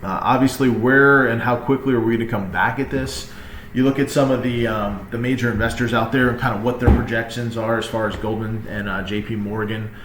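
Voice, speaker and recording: Amid noticeable background noise and audible room echo, a man with a medium pitch speaks at a fairly quick pace with fairly even intonation and hardly any pauses. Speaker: real estate agent. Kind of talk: market update presentation. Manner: fast.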